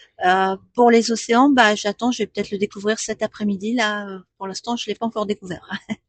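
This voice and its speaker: A woman with a fairly high voice speaks fairly quickly and with hardly any pauses, her intonation fairly even but her loudness swinging widely, in a dry, close recording with no echo. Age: 60s. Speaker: postal customer adviser. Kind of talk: radio interview. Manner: hesitant, many fillers.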